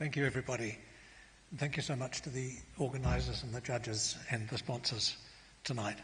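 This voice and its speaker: In a room with audible echo, a man of medium pitch talks at a fairly quick pace with fairly even intonation, broken by long, frequent pauses. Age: 70s. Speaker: botanist and author. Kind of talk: acceptance speech. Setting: stage with audience.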